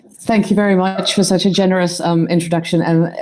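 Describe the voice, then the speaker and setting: Her tone is dark and mellow, with a British accent. The woman speaks at a fairly quick pace. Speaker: archaeologist and AI popularizer. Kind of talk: panel discussion. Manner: animated.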